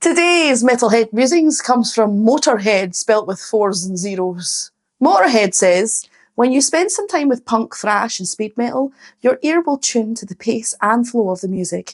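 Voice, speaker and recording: With a Scottish accent, a woman speaks at a moderate pace in an upbeat tone. Her pitch is fairly high, and her intonation is lively. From Scotland. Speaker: singer. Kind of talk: casual talk to camera.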